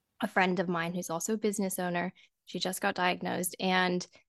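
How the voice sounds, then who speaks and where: Against a quiet background, a woman with an unremarkable speaking voice and medium pitch talks at a fairly quick pace in a dry, close sound with no echo. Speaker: podcast host. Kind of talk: casual interview chat.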